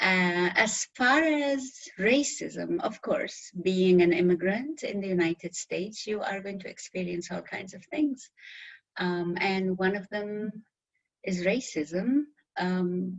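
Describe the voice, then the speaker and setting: A woman with a strong non-native accent speaks at a very slow pace, somewhat breathy, with lively intonation. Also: medium pitch for a woman, big swings in loudness. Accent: very thick foreign. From Middle East. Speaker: interview guest. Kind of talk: interview.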